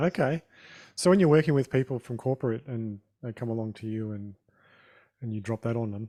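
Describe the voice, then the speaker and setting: A man with an Australian accent and a dark, mellow tone pauses long and often, with ordinary pitch variation and a dry, close sound with no echo. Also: medium pitch for a man, fairly quick pace, big swings in loudness. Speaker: podcast host. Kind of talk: podcast interview.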